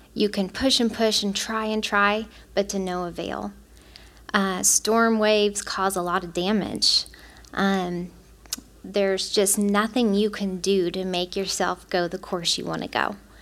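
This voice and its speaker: Her medium-pitched voice is a woman's, moving at a fairly slow pace. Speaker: church teacher speaking on mercy. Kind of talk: Bible study teaching. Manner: excited.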